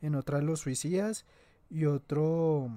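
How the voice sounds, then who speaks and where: Dark, mellow tone in a man's fairly high voice. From Colombia, Antioquia. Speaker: podcast host. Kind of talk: casual chat.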